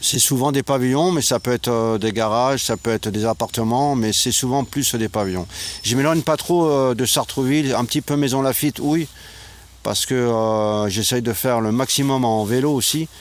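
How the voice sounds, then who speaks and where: A man speaks at a moderate pace with ordinary pitch variation and very even loudness. Noticeable background noise is present. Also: medium pitch for a man. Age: 60s. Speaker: retired volunteer, guest. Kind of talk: interview. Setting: outdoors.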